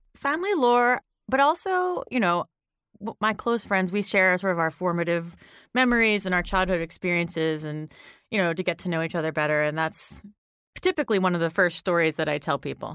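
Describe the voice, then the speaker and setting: In an American accent, a woman with an ordinary speaking voice and medium pitch talks at a fairly quick pace with lively intonation, on a very clean recording with a silent background and a dry, close sound with no echo. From Delaware County, Pennsylvania. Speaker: litigant. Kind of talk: casual chat.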